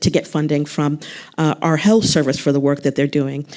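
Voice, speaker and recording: A woman is talking. Her speech comes with an American accent. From United States. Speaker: arts council executive. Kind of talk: panel discussion.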